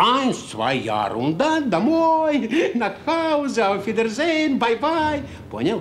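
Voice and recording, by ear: Putting on a character voice, a man talks slowly at an extremely high pitch with big swings up and down.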